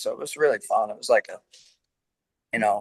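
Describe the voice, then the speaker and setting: A man with an American accent, dry and close with no echo. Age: 60s. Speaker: rock singer. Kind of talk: interview.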